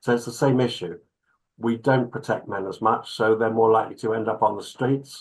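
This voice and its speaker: A man speaks with fairly even intonation in a somewhat breathy voice. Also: medium pitch for a man, fairly quick pace. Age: 60s. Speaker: clinical psychologist. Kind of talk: interview.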